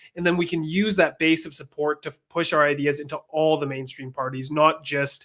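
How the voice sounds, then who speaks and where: This man has a plain, everyday voice with a Canadian accent, fairly high pitch, fairly even intonation and a fairly quick pace with hardly any pauses. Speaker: political activist, organization founder. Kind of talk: political interview.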